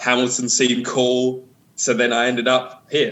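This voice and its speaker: A man of medium pitch with an American accent. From London, England (Beckenham, Bromley). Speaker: rapper. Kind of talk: interview. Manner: hesitant with fillers.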